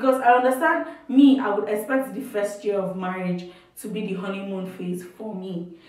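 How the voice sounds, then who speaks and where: Delivered at a moderate pace, the speech has lively intonation and audible room echo. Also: woman. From Nigeria. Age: 20s. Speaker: youtuber. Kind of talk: casual advice chat.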